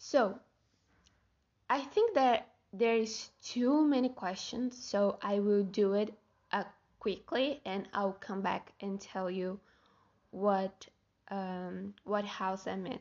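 Long, frequent pauses break up this very slow delivery, which has ordinary pitch variation. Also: woman, medium pitch for a woman. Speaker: podcaster. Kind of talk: casual solo monologue. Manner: halting, with self-corrections; frequent laughter.

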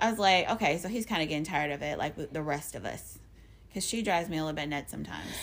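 Very fast, lively speech from a woman with a very deep, low pitch and vocal fry. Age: 30s. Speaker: podcast co-host. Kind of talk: casual chat.

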